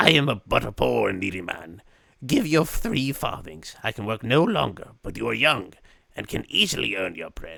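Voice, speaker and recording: At a moderate pace, a man puts on a character voice pitched fairly low. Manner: pleading, needy.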